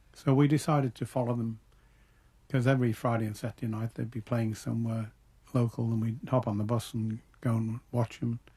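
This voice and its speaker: With a Liverpool accent, a man speaks fairly quickly at a medium pitch, his dark, mellow tone somewhat breathy and his intonation monotone and flat. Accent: Liverpool (Scouse) English. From Liverpool, England. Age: old. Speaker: musician. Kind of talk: interview answer.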